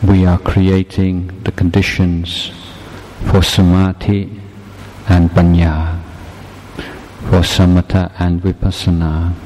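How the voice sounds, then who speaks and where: Against noticeable background noise, a man with a very deep, low pitch speaks in a calm tone at a very slow pace, his intonation monotone and flat, with long, frequent pauses. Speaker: meditation teacher. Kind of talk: guided meditation. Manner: slow, calm, measured; soft-spoken, instructive, with pauses.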